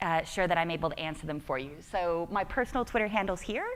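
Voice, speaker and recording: A woman speaks with an American accent and lively intonation. The recording is very clean, with a silent background. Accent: American, called goofy by herself. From United States. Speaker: tech conference speaker. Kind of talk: conference talk. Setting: stage with audience. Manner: less chipper than usual.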